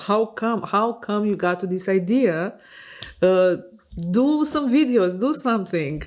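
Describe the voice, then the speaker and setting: A woman at medium pitch with a non-native accent, lively intonation and a fairly slow pace. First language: Romanian. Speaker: fashion designer and vlogger. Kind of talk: casual vlog monologue. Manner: hesitant, many fillers.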